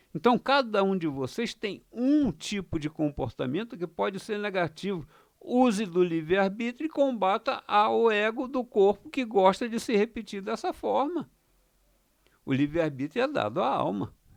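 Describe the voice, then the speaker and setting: The sound is dry and close, with no echo. A man talks at a high pitch and a moderate pace, with very wide pitch swings. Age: 70s. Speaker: astrology and spirituality teacher. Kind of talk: monologue video lesson. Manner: halting, with many fillers.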